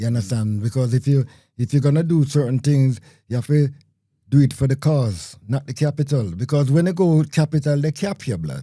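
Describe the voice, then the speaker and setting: A man's somewhat breathy, dark and mellow voice, fairly high in pitch, with ordinary pitch variation, a fairly quick pace, and a very clean recording against a silent background. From Jamaica. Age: 60s. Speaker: community radio broadcaster. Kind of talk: interview conversation.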